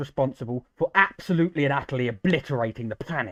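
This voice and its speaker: A man with a British accent talking very fast, lively intonation, dry, close sound with no echo. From Britain. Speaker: gaming streamer and modder. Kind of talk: casual chat. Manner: animated.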